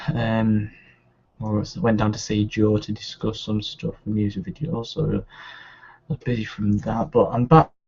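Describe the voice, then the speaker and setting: There is a somewhat breathy quality here. The pitch moves in an ordinary way. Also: man, moderate pace. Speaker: photographer. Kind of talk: tutorial.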